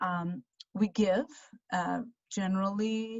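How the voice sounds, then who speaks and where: This woman's voice is medium-pitched and somewhat breathy. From Armenia. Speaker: financial advisor. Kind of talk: presentation. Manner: halting.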